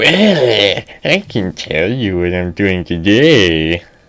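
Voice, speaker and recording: Putting on a character voice, a man speaks at a very slow pace. His pitch is fairly low. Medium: read story. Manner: creepy, rambling.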